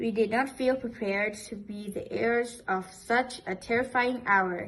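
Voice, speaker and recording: Fairly slow and fairly even in intonation, a woman talks at a fairly high pitch. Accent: non-native. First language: not English. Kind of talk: poetry reading.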